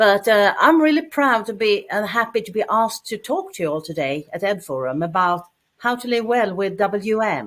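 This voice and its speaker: A woman talks with a Swedish accent and hardly any pauses. Her pitch swings very widely. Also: moderate pace. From Sweden. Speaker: cancer patient, support group founder. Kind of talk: presentation.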